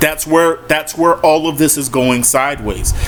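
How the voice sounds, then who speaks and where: A man speaks at a fairly slow pace in an animated tone. Noticeable background noise runs behind him. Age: 40s. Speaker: sports commentator. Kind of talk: monologue rant.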